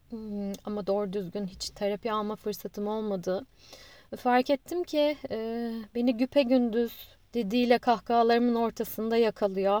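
Fairly high in pitch with ordinary variation, a woman speaks fairly slowly in a dark, mellow tone, recorded dry and close with no echo. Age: 30s. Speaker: podcaster. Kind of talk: personal monologue.

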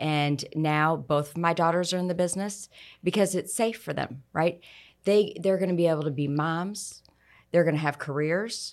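A woman's fairly low voice with an American accent, an ordinary speaking voice at a moderate pace with ordinary pitch variation, on a very clean recording with a silent background. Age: middle-aged. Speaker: insurance agent. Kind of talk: interview conversation.

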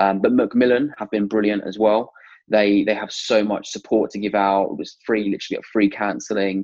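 This man has a southern English accent and a fairly low pitch. He talks at a moderate pace with fairly even intonation. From Hertfordshire, England. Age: 20s. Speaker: cancer patient. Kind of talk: interview, personal testimony.

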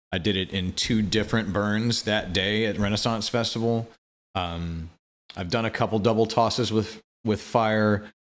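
In a very clean recording with a silent background, the speaker uses an American accent, fairly even intonation and a moderate pace. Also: man, fairly low pitch for a man. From US Midwest, Quincy, Illinois. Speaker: flow artist and fire performer. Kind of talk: casual interview chat.

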